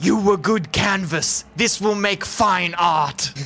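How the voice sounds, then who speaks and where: A put-on character voice at a middle pitch, delivered at a fairly slow pace over clear background noise. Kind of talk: comic overacting. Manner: grandiose, broken caveman speech.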